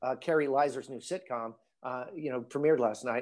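Talking at a fairly quick pace, a man at medium pitch speaks with a Midwestern American accent. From US Midwest, northern Illinois. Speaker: actor. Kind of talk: casual interview.

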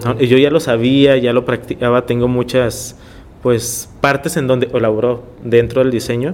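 A man talks at a moderate pace in a monotone, flat intonation. Noticeable background noise runs beneath him. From Tijuana, Mexico (born in Ensenada). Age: 30s. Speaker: visual artist. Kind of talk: interview.

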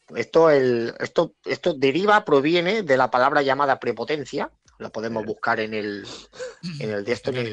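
A man with a normal speaking voice talks at a fairly slow pace, his medium pitch moving in lively intonation, recorded with a dry, close sound and no echo. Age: 40s. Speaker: DJ and club programmer. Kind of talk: casual chat. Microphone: connection problems.

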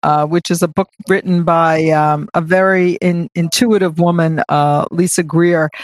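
A woman speaks at a fairly low pitch in an ordinary speaking voice. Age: 60s. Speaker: charity co-founder. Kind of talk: interview.

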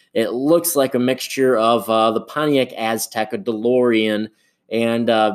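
An ordinary speaking voice from a man with an American accent, medium in pitch, with fairly even intonation at a fairly slow pace, on a very clean recording with a silent background. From Michigan, US Midwest. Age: 20s. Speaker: podcast host. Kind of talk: casual solo podcast monologue.

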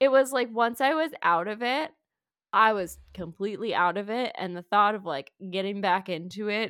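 A woman with an ordinary speaking voice speaks at a medium pitch with lively intonation, in a very clean recording with a silent background. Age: 20s. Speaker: teacher and podcast co-host. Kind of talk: casual chat.

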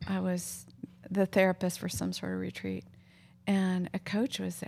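The recording is very clean, with a silent background. The speaker is a woman. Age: 60s. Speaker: podcast host and counselor. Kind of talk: casual interview chat. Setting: home living room.

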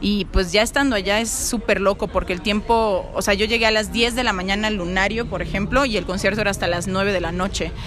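In a Mexican accent, a woman at medium pitch talks at a fairly quick pace with hardly any pauses and fairly even intonation, amid noticeable background noise and audible room echo. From Mexico. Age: young. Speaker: singer-songwriter. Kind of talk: interview. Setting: cafe.

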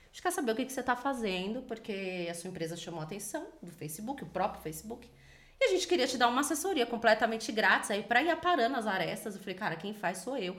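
Very fast woman's speech at a fairly high pitch, with very wide pitch swings, big swings in loudness, and noticeable background noise. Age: 30s. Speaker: entrepreneur. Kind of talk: interview.

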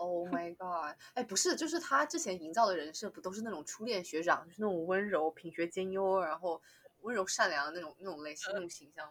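A woman speaks at a medium pitch with ordinary pitch variation, hardly pausing at all while her loudness swings widely. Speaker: regular podcast guest. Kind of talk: casual chat.

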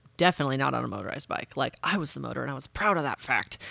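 An animated tone in a Midwestern American accent comes through in a very clean recording with a silent background. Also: woman. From Nebraska, US Midwest. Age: 40s. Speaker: active transportation advocate. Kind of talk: casual chat.

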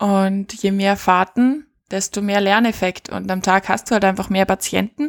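A woman's medium-pitched voice at a fairly slow pace, in a very clean recording with a silent background and a dry, close sound with no echo. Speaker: podcast host and paramedic. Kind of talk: casual chat. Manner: animated.

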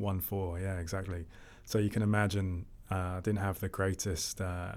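In a very clean recording with a silent background, a man with a South London accent speaks at a moderate pace in a very deep, low pitch, his intonation monotone and flat. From Southeast London, England. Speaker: fintech co-founder and investor. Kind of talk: interview.

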